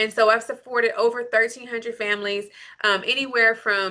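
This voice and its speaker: Against a quiet background, a woman with a slight Southern US accent speaks in a bright, sharp tone at a fairly high pitch. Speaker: lactation consultant. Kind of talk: live Q&A session. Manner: animated.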